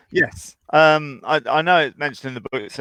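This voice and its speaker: The sound is dry and close, with no echo. A man speaks with an English accent and fairly even intonation. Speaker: horse trainer. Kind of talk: live Q&A call-in chat.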